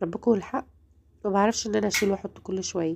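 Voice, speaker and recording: Speaking with an Egyptian accent, a woman has a medium pitch and a dark, mellow tone. The recording is very clean with a silent background. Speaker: home lifestyle vlogger. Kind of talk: home routine vlog narration. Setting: at home.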